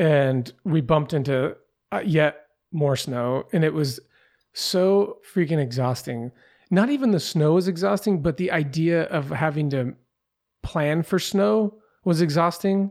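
In an American accent, a normal speaking voice delivers lively intonation at a fairly slow pace in a very clean recording with a silent background. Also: man, fairly high pitch for a man. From US Pacific Northwest. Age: 30s. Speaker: podcaster and long-distance hiker, military veteran. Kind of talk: casual interview chat.

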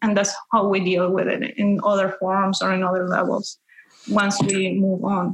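A woman speaks at a moderate pace with a Spanish accent. Her loudness stays very even, and her intonation is flat and monotone. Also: medium pitch for a woman. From Peru. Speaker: spiritual teacher. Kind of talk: interview. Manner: halting with fillers.

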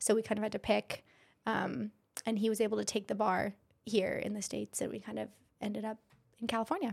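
Speaking at a very fast pace, a woman with an American accent talks. She leaves long, frequent pauses. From Idaho, US. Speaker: physician assistant and aesthetics business owner. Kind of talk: casual interview. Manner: soft-spoken.

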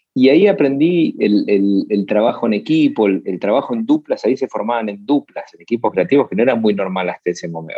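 His delivery moves along at a fairly quick pace. The man's intonation rises and falls in a lively way. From Argentina, Buenos Aires. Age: 40s. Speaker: advertising agency founder. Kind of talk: interview. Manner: halting, many repetitions.

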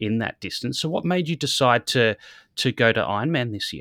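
A man with an Australian accent at a fairly quick pace, lively intonation, a dry, close sound with no echo, and a very clean recording with a silent background. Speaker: sports dietitian and podcast host. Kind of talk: interview. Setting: working from home.

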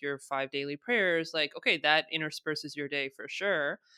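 A woman with an American accent has a very deep, low pitch and a bright, sharp tone, speaking at a moderate pace with fairly even intonation. The sound is dry and close with no echo, in a very clean recording with a silent background. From United States. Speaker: diversity and inclusion consultant. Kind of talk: interview conversation.

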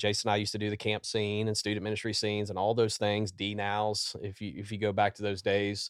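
A man speaks with a Southern US accent in a fairly low pitch. The recording is very clean with a silent background. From Louisiana. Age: 40s. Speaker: executive pastor. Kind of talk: podcast interview. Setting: studio.

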